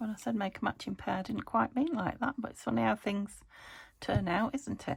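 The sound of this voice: Putting on a character voice, a woman speaks fairly quickly at a medium pitch, croaky and raspy.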